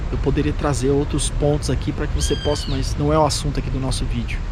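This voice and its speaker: Noticeable background noise and audible room echo surround a man who talks at a very fast pace. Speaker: missionary vlogger. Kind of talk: outdoor vlog reflection. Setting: outdoors in a park by a lake. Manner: soft-spoken.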